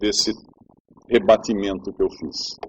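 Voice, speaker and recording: A man speaks at a fairly slow pace. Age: 50s. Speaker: preacher. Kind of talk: sermon. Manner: conversational.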